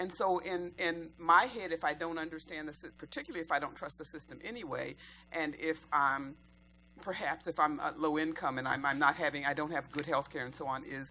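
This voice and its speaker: Her bright, sharp tone comes with a very deep, low pitch for a woman and ordinary pitch variation. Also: fairly quick pace. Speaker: audience member. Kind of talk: panel Q&A question. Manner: loud.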